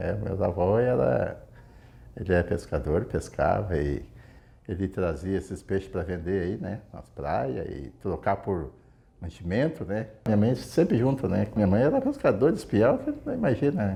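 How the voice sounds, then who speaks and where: With a dark, mellow tone and vocal fry, a man speaks at a fairly slow pace, his fairly low pitch making very wide swings. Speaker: fisherman. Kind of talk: interview testimony.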